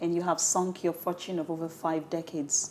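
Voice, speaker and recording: This is a woman with a fairly low-pitched voice. Noticeable background noise is present. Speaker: TV show host. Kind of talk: interview questions.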